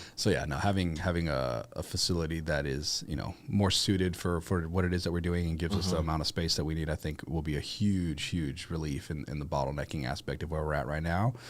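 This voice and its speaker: A man's very deep, low voice with vocal fry, at a very fast pace with hardly any pauses and ordinary pitch variation. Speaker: auctioneer and auction house owner. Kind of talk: podcast interview answer.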